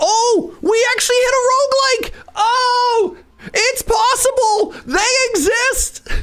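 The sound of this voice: The put-on character voice is squeaky and extremely high, shouting at a fairly slow pace.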